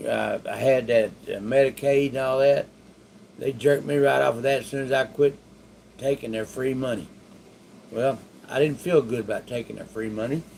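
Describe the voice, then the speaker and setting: In a Texan accent, the speaker keeps a moderate pace and a fairly even intonation, with long, frequent pauses. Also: man, medium pitch for a man. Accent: Texan Southern US. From Texas, Waco area. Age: 60s. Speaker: stroke survivor teaching online money-making. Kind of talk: casual monologue to camera. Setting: home bedroom. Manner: halting, many fillers and restarts.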